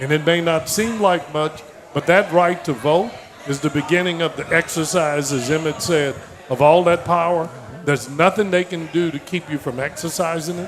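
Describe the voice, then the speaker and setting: Amid noticeable background noise, a man with an American accent speaks at a fairly high pitch and moderate pace with ordinary pitch variation. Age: 70s. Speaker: political speaker. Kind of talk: political speech. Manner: impassioned.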